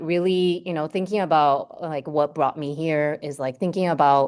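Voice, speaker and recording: In a Hawaiian accent, a woman talks at a moderate pace. The background is quiet. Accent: Hawaii English. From Hawaii, Oahu (Ewa, Waipio and Waikele). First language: Japanese. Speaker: marine scientist. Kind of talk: lecture. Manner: casual, many filler words.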